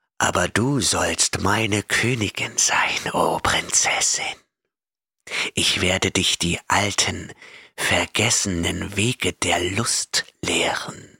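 Using a put-on character voice, a man speaks at a very slow pace, soft-spoken, raspy and hissing, with a menacing tone. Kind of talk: fantasy horror audiobook reading. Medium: audio drama. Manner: gloating, menacing, lustful whisper.

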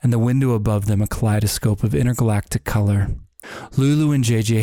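This is plain reading aloud. The words are simply read off.

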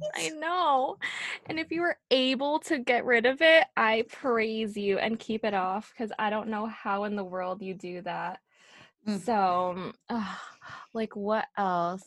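A woman with an unremarkable speaking voice talks fairly slowly in a fairly high pitch with lively intonation, the sound dry and close with no echo in a very clean recording with a silent background. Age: 20s. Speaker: podcast co-host. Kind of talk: casual chat.

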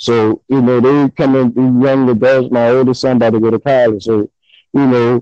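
Heard dry and close with no echo, a man with a New Orleans accent speaks fairly slowly in a dark, mellow, medium-pitched voice with fairly even intonation. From New Orleans, Louisiana. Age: 30s. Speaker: guest rap fan. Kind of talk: casual chat about hip hop.

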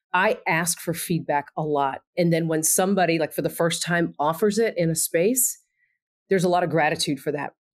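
On a very clean recording with a silent background, a woman with an American accent speaks in an unremarkable speaking voice at a moderate pace, her fairly low pitch showing ordinary pitch variation and her loudness very even. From Texas. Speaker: university administrator. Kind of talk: casual interview.

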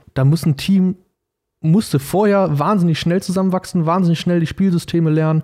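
A man talks at a fairly quick pace. His voice is fairly high in pitch with a dark, mellow tone. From Germany, Paderborn (Westphalia). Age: 20s. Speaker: American football quarterback. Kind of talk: casual interview.

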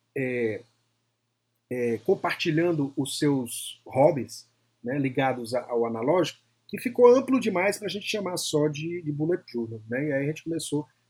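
Moderately paced, a man is talking. The pitch of his voice swings very widely. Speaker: psychologist and podcaster. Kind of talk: casual interview chat.

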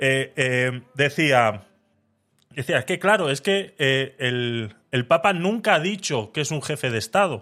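Speaking at a very slow pace, a man uses a fairly high pitch, a bright, sharp tone and lively intonation. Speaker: podcast host. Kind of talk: casual chat.

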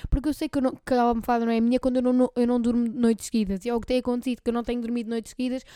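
A dark, mellow voice in monotone, flat intonation moves at a very fast pace, the sound dry and close with no echo. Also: woman. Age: 20s. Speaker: podcast host. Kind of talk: casual chat.

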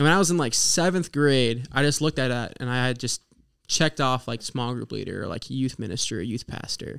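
A man with an American accent talks at a fairly quick pace in an ordinary speaking voice, his medium pitch showing ordinary variation, on a very clean recording with a silent background. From Oklahoma. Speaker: ministry student. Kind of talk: testimony. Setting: studio.

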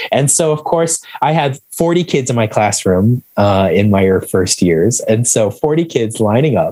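With hardly any pauses, a man speaks at a fairly slow pace and medium pitch, his voice making very wide pitch swings. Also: very even loudness. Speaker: education director and trauma researcher. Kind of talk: interview conversation. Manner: calm.

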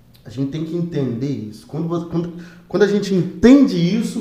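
With audible room echo, a man with a dark, mellow tone and a high pitch speaks at a moderate pace, his pitch swinging very widely. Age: 30s. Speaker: missionary and drummer, hair salon worker. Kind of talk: casual chat. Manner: halting.

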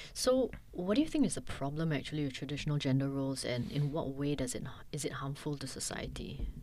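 A woman's very deep, low voice with a dark, mellow tone, a Singaporean accent, fairly even intonation and hardly any pauses. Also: fairly quick pace. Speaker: podcast host. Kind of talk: interview. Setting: studio.

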